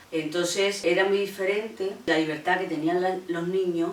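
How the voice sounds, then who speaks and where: A woman's voice with noticeable background noise. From Andalusia, Seville province (La Luisiana). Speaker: feminist activist. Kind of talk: interview testimony.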